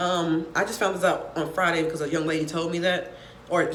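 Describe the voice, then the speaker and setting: Amid noticeable background noise and audible room echo, a woman talks at a fairly low pitch. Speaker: college professor. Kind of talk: casual talk to students. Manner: fast.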